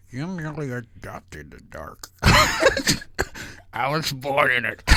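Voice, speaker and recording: A man puts on a raspy character voice at a fairly high pitch. He keeps to a moderate pace. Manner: menacing, theatrical.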